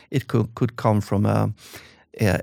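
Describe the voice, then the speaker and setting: A man with a Swedish accent, a fairly low pitch, vocal fry and ordinary pitch variation, on a very clean recording with a silent background. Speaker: author and entrepreneur. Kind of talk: interview conversation. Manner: halting.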